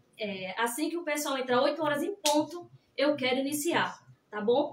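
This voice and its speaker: Over audible room echo, a woman speaks at a moderate pace with ordinary pitch variation. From Pernambuco, Brazil. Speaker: cake decorator. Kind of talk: live cake decorating class. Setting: livestream. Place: kitchen. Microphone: phone near.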